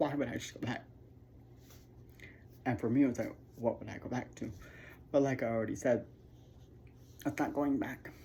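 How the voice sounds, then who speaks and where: A woman with a very deep, low pitch and vocal fry speaks at a fairly quick pace, her intonation fairly even, her loudness swinging widely, with long, frequent pauses. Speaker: YouTuber sharing personal story. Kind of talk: personal testimony vlog. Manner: halting, many fillers.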